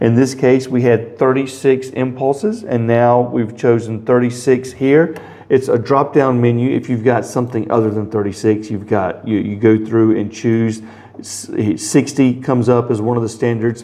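A man's intonation stays fairly even while he talks at a moderate pace. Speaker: product demonstrator. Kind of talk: tutorial. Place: office.

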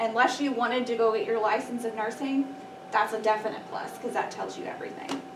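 Over noticeable background noise, a woman talks very fast with ordinary pitch variation. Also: fairly high pitch for a woman. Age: 30s. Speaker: allergy nurse; guest. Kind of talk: presentation to students. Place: classroom. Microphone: camera far.

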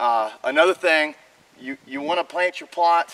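A man talks at a moderate speed, his pitch moving in an ordinary way. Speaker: outdoor TV show host. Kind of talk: tutorial. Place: open country.

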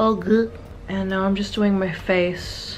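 At a moderate pace, a woman with an Australian accent talks at a medium pitch over faint background noise.

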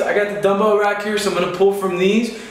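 Audible room echo surrounds a man whose voice is high in pitch. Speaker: fitness instructor. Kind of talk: casual workout tutorial. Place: home room. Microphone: camera far.

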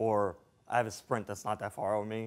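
At a fairly quick pace, a man speaks with a fairly low pitch and little pitch movement.

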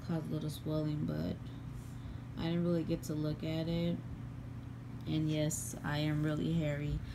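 Noticeable background noise runs behind this recording. The woman in it talks at a moderate pace. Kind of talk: casual vlog chat. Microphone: phone near.

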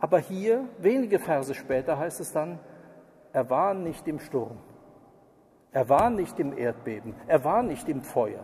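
The speaker is a man with lively intonation. His pace is fairly slow. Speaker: preacher. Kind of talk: sermon. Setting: church. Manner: formal, earnest, lecturing with pointed criticism.

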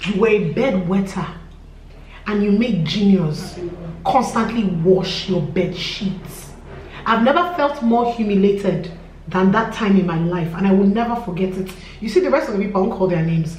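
With light background noise and audible room echo, a woman speaks at a moderate pace with ordinary pitch variation. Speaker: vlogger telling a story. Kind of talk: casual vlog chat. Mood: aggrieved, emphatic storytelling. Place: home room.

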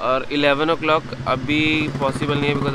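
A man's voice against clear background noise.

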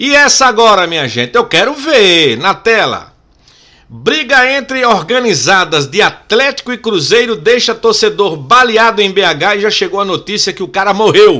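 Against a quiet background, a man with a high, bright, sharp voice speaks in a raised, projected way at a moderate pace with lively intonation. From Pernambuco, Brazil. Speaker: sports commentator and YouTuber. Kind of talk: angry rant about football authorities, sarcastic and indignant, addressing the STJD. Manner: indignant, sarcastic, emphatic, repeating for emphasis; outspoken, opinionated, informal. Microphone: studio mic.

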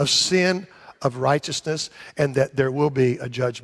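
Against a quiet background, a man with a fairly high pitch talks fairly slowly, with ordinary pitch variation. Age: 60s. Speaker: pastor. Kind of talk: sermon. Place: church.

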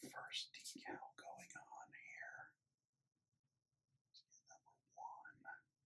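Very slow delivery, broken by long, frequent pauses, carries a bright, sharp tone. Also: man, extremely high pitch for a man, lively intonation, big swings in loudness. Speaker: Lego builder. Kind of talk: ASMR build narration. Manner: whispered. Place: home room.

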